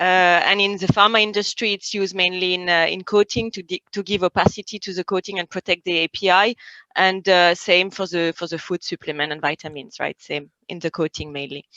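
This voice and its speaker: A woman's bright, sharp voice in a French accent, medium pitch, fairly quick pace with hardly any pauses, fairly even intonation, dry and close with no echo against a quiet background. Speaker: industry expert, chemist. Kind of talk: interview. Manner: hesitant, many fillers.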